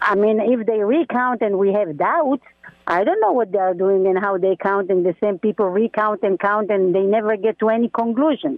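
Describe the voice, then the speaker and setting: A woman with an American accent has an unremarkable speaking voice. Her medium pitch moves with ordinary variation. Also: moderate pace, very even loudness. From outside the US. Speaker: caller. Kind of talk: call-in. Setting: phone call.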